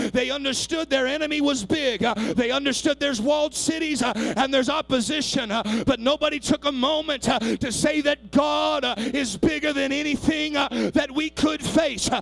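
An extremely high-pitched man talks in an animated tone at a moderate pace with hardly any pauses, against noticeable background noise. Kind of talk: sermon, preacher in full flow with call-and-response. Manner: animated, fervent, urgent exhortation to the congregation; rhythmic, building to a shout.

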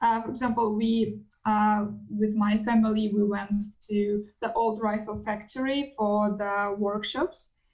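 This woman talks at a fairly slow pace in a fairly high pitch, her intonation monotone and flat. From Russia. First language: Russian. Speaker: international student. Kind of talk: podcast interview.

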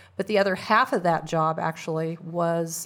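A woman with a Midwestern American accent, fairly low pitch and fairly even intonation on a very clean recording with a silent background. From Kansas. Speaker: community advocate. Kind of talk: interview. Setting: studio.

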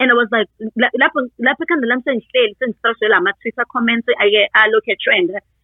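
With a Zulu accent, a woman speaks at a moderate pace in a fairly high voice with ordinary pitch variation. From South Africa, Durban, KwaZulu-Natal. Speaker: parent and social media user. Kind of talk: interview.

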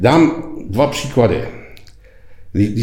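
A man's somewhat breathy, dark and mellow voice at a fairly slow pace, with audible room echo. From Czech Republic. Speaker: retired executive, leadership lecturer. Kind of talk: interview.

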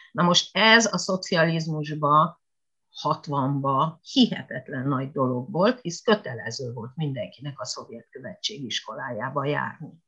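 With a bright, sharp tone and lively intonation, a woman speaks very slowly in a very deep, low voice. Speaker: retired Japanese language lecturer. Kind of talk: interview. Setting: internet call.

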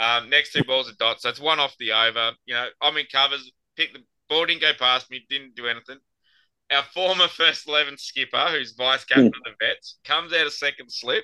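With an Australian accent, a man speaks at a fairly quick pace in a fairly high pitch, his intonation fairly even. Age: 40s. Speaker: podcast host and amateur cricketer. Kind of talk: casual chat.

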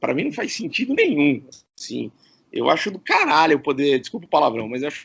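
The speaker is a man with a fairly high pitch. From Campinas, São Paulo state, Brazil. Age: 40s. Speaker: radio presenter. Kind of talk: casual interview chat. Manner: animated.

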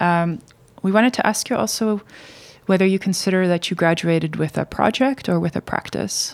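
Her voice plain and everyday, a woman talks at a fairly quick pace with a medium pitch and ordinary pitch variation. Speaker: podcast co-host, academic. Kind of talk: interview conversation.

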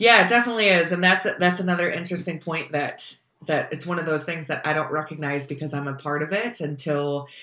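With an Upstate New York accent, a woman with a very deep, low pitch talks fairly quickly and with ordinary pitch variation. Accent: Upstate New York American. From upstate New York, Syracuse. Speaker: sport management professor. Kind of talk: interview.

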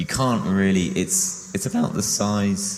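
A man talks with ordinary pitch variation while noticeable background noise fills the recording. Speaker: artist and author. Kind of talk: illustrated book talk. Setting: live stage with audience.

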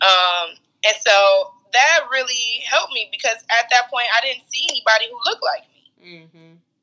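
A high-pitched woman with an American accent, lively intonation, big swings in loudness and a moderate pace. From Cleveland, Ohio (inner city). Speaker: podcast co-host. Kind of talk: casual chat. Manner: animated.

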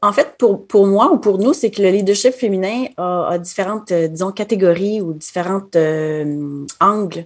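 A woman with a normal speaking voice talks at a fairly slow pace and medium pitch. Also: ordinary pitch variation. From Quebec City. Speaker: assistant school principal. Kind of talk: interview.

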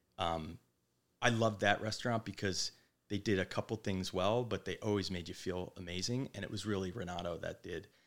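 With a New Jersey accent, a man speaks at a fairly quick pace with fairly even intonation. The recording is very clean, with a silent background. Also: fairly low pitch for a man. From New Jersey, Manasquan. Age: 40s. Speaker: restaurant owner. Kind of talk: casual interview.

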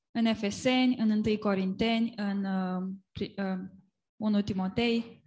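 Very slow, somewhat breathy speech in a Romanian accent, monotone and flat in intonation, against a quiet background. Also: woman, medium pitch for a woman. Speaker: interpreter. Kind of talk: live interpretation of a sermon. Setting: church gathering.

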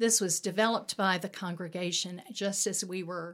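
With a Southern US accent, a woman speaks in a flat monotone at a fairly slow pace and a fairly low pitch. The recording is very clean, with a silent background. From US South, Mobile, Alabama. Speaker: pastor. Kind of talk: podcast interview.

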